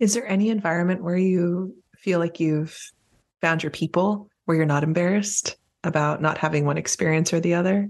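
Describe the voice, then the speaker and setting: A plain, everyday voice at a fairly quick pace, with fairly even intonation and very even loudness. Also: woman, fairly low pitch for a woman. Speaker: podcast host. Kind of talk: casual chat.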